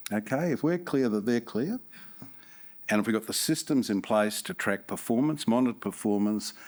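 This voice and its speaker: This speaker has a New Zealand accent, a moderate pace and ordinary pitch variation. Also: man, medium pitch for a man. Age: 60s. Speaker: company chairman. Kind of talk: shareholders' meeting chairing. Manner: halting.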